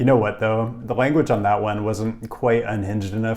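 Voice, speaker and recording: A man's fairly low voice with an American accent, a fairly quick pace and ordinary pitch variation. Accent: normal American. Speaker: urbanism video creator. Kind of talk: commentary video.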